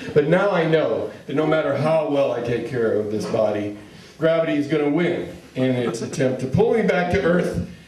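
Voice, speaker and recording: A man's lively intonation at a moderate pace, over noticeable background noise. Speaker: comedian and monologue performer. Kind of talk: stand-up comedy monologue. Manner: conversational, wry, humorous.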